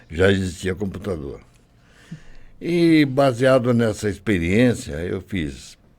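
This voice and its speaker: A man speaks at a very slow pace. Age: 80s+. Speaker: retired programmer and logistics worker, care home resident. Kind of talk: interview.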